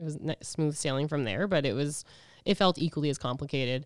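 The recording is very clean, with a silent background. A woman talks fairly quickly in a very deep, low voice. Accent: Canadian Prairies. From Edmonton, Alberta, Canada. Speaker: podcast guest sharing grief experience. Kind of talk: casual interview, personal testimony.

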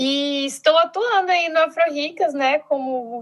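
Her pitch high for a woman, she speaks with ordinary pitch variation. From Brazil, Brasília. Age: 20s. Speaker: social project founder, sociologist. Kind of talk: casual chat. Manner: animated.

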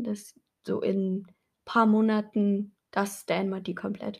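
A somewhat breathy, monotone voice with flat intonation. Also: woman. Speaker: podcast co-host. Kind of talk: casual chat.

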